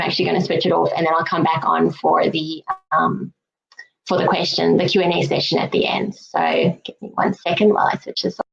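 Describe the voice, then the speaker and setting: A woman with a South African accent at a very fast pace. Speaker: regulatory affairs consultant, presenter. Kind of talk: webinar presentation.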